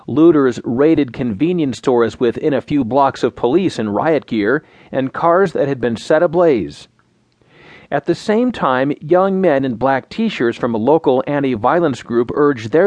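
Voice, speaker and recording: In a normal speaking voice, the speaker uses lively intonation at a moderate pace. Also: man, fairly high pitch for a man. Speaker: news narrator. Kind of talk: news reading, scripted digest of headlines and articles. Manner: formal, even-paced, neutral; steady, measured delivery without emotion.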